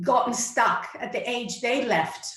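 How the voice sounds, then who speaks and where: A woman with an American accent speaks at a fairly slow pace. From United States (Iranian-born). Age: 40s. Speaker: clarity coach. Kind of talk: interview.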